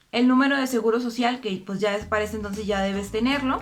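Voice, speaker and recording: A woman speaks at a fairly high pitch with fairly even intonation, and there is noticeable background noise. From Costa Rica. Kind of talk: casual talk to camera.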